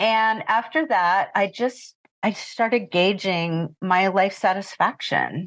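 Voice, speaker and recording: Against a quiet background, a woman talks at a very slow pace with very even loudness. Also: medium pitch for a woman, ordinary pitch variation. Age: 60s. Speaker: retired pet sitter and business owner. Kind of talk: interview.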